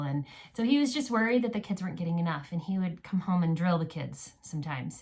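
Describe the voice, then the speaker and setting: A fairly low-pitched woman at a fairly quick pace, with ordinary pitch variation and noticeable background noise. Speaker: homeschool podcast co-host. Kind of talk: casual chat. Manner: halting.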